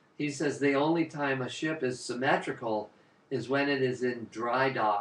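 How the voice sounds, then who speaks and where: The man's voice has a medium pitch and fairly even intonation, with noticeable background noise behind it. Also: moderate pace. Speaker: qigong teacher. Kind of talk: guided movement class. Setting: live online broadcast.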